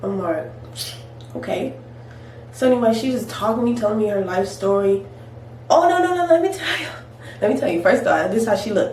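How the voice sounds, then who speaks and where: A fairly high female voice at a fairly quick pace, with very wide pitch swings, long, frequent pauses and noticeable background noise. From California. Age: 20s. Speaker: hairstylist. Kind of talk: casual storytime talk to camera.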